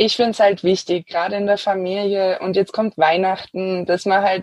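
A woman speaks at a medium pitch and moderate pace with monotone, flat intonation. The sound is dry and close with no echo. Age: 30s. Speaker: environmental activist. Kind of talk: interview.

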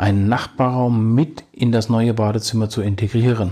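A man with an ordinary speaking voice talks at a fairly slow pace and medium pitch with fairly even intonation, in a very clean recording with a silent background. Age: 50s. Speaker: podcast host, bathroom renovation advisor. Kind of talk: informational monologue addressing listeners. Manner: formal.

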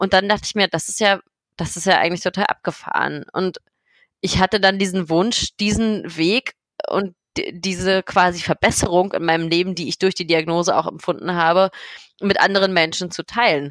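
Here a woman has an ordinary speaking voice, a medium pitch, a moderate pace and fairly even intonation, in a very clean recording with a silent background and a dry, close sound with no echo. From Berlin, Germany. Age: 20s. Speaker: blogger and patient advocate living with MS. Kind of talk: interview.

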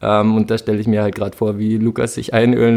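Fairly low and dark, mellow in tone, a man's voice runs at a fairly quick pace with monotone, flat intonation. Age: 20s. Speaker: event project manager. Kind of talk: casual chat.

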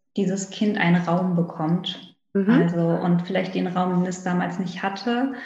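A woman's unremarkable speaking voice with fairly even intonation. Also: medium pitch for a woman, fairly slow pace. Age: 30s. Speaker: naturopath, former pediatric nurse. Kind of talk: interview conversation.

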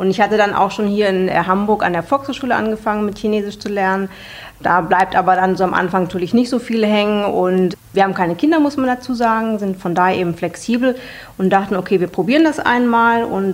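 A woman speaks at a fairly quick pace in an ordinary speaking voice. Her pitch is medium with ordinary variation. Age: 40s. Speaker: personal finance platform founder. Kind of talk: interview.

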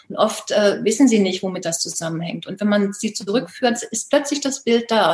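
The speaker is a woman with a fairly high pitch. There is a somewhat breathy quality to her voice. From northern Germany, Baltic coast. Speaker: life coach. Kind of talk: interview.

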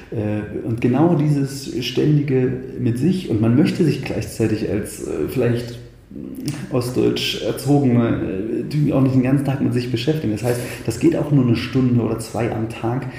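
Audible room echo follows a man whose intonation stays fairly even. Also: medium pitch for a man, moderate pace. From Thuringia, Eichsfeld (eastern Germany). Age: 30s. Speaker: pianist and composer. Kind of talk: casual interview conversation. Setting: in person. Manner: halting, many restarts.

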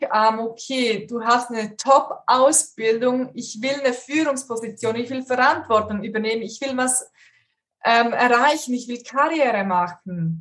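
A woman with a high voice talks fairly slowly, her pitch moving in a normal way. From Switzerland. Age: 30s. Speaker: career coach. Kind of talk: interview.

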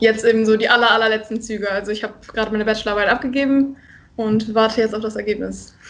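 Very fast and with monotone, flat intonation, a woman delivers her lines. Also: fairly high pitch for a woman. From northern Germany, Friesland. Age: 20s. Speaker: student and charity volunteer. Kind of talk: casual interview.

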